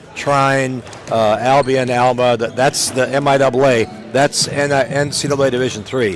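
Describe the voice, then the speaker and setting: Noticeable background noise behind a man's moderately paced talk. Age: 70s. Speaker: play-by-play broadcaster. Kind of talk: sports broadcast commentary.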